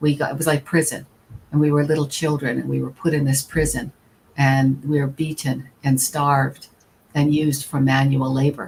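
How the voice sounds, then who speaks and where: Somewhat breathy and very deep in pitch, a woman speaks at a moderate pace with monotone, flat intonation. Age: 60s. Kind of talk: panel talk. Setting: live stream panel.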